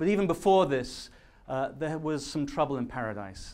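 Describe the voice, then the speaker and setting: A man with a British accent talks at a very fast pace, with audible room echo. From London, then Majorca from age ten. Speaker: public speaker, activist. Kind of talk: conference talk. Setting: stage with audience. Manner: some hesitations and fillers.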